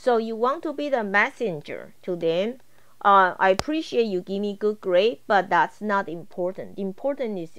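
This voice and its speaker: This woman talks with lively intonation and hardly any pauses. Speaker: college instructor. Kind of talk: tutorial. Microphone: video call.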